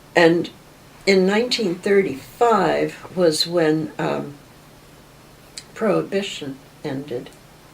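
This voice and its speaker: A woman with an American accent speaks very slowly over noticeable background noise, her pitch moving in an ordinary way. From western Maryland (Friendsville, Garrett County). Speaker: local history interviewee. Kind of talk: oral history reminiscence. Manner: unhurried, many filler pauses.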